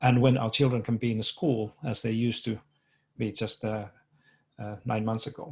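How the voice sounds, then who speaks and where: A man speaks with a Finnish accent at a moderate pace, his medium-pitched, somewhat breathy voice holding a fairly even intonation through long, frequent pauses. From Finland. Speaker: education researcher. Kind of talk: conference presentation. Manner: halting, many fillers and repetitions.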